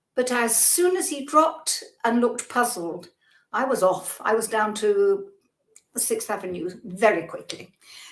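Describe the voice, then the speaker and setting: With very wide pitch swings, a woman speaks at a fairly high pitch and a fairly slow pace. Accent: British. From Britain. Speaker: spiritual teacher. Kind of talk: podcast interview.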